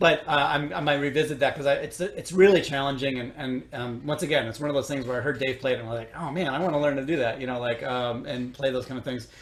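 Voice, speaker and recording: Speaking at a very fast pace with hardly any pauses, the voice carries a slight Chicago accent and fairly even intonation over noticeable background noise. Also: man, fairly high pitch for a man. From US Midwest, Chicago. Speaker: orchestral trumpet player. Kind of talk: interview. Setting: recorded at home. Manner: halting, many fillers and repeats.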